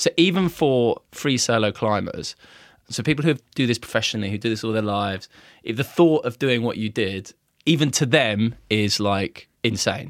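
On a very clean recording with a silent background, the speaker talks in a British accent at a moderate pace with lively intonation. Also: man, medium pitch for a man. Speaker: podcast host. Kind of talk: casual interview chat. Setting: studio.

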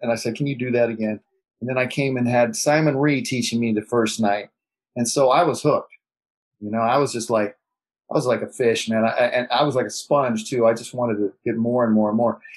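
With a General American accent, a man talks at a fairly quick pace in an unremarkable speaking voice of medium pitch and fairly even intonation. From Los Angeles area, US. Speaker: martial arts film actor and stunt performer. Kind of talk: casual interview.

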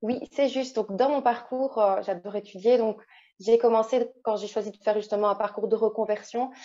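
In a Belgian accent, a woman talks at a moderate pace with a fairly high pitch and fairly even intonation. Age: 20s. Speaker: naturopath and coach. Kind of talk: casual interview.

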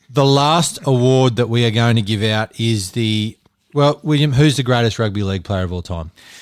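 On a very clean recording with a silent background, a man with an Australian accent speaks at a moderate pace. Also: medium pitch for a man, ordinary pitch variation. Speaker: co-host of sports podcast. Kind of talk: casual sports banter.

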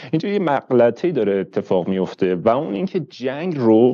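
Dark, mellow tone from a man at medium pitch, with very wide pitch swings, a fairly slow pace and a quiet background. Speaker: audience participant. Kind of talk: heated debate.

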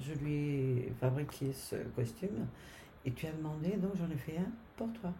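In a room with audible echo, a woman speaks at a very slow pace with a very deep, low pitch, a dark, mellow tone, a somewhat breathy sound and lively intonation. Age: 60s. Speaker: grandmother. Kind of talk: casual chat.

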